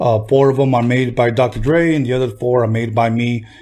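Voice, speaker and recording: A man with a Spanish accent speaks at a moderate pace and medium pitch, his tone dark and mellow, his voice somewhat breathy, and his intonation monotone and flat. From Compton, Los Angeles area. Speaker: podcast host and music producer. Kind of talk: casual interview chat. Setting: studio.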